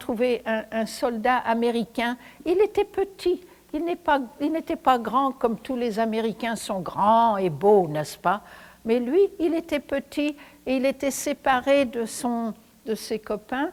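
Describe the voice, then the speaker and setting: Speaking very slowly, a woman with a high pitch and lively intonation comes through on a very clean recording with a silent background. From France, Paris. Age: old. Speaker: Holocaust survivor, retired teacher. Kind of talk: testimony. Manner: animated; halting.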